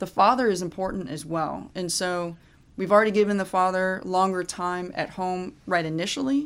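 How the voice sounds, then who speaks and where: A woman's medium-pitched voice with an American accent, moderate pace and ordinary pitch variation, on a very clean recording with a silent background. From US Midwest, Fairborn, Ohio. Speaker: military officer. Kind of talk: casual interview.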